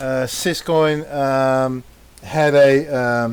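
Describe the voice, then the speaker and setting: Against noticeable background noise, a man speaks with a non-native accent. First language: not English. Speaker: crypto team member. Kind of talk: casual podcast chat. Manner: halting.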